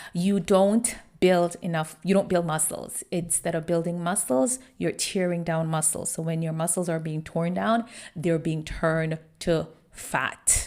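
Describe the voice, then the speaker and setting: A woman at a fairly slow pace and fairly low pitch, with fairly even intonation. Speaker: online personal trainer and wellness coach. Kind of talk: podcast monologue. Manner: casual, conversational.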